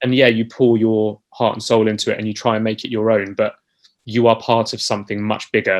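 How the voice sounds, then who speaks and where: A man with a British accent, fairly quick and monotone, with flat intonation. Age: 30s. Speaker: musical theatre actor. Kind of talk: interview.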